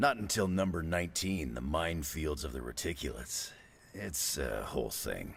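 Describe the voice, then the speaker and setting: Putting on a character voice, a man speaks at a very deep, low pitch and a moderate pace. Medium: video game. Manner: dry, laconic.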